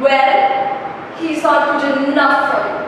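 Through strong room echo and light background noise, a woman speaks very slowly in a high pitch. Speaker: actor performing a monologue. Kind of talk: dramatic acting monologue. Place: empty room. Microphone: camera far.

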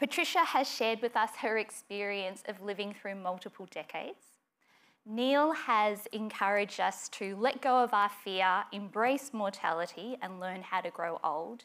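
A woman speaks with an Australian accent. Her pace is moderate, with ordinary pitch variation. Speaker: geriatrician; event moderator. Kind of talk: onstage interview and talk. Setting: stage with audience. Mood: warm, lightly humorous. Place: stage. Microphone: lapel.

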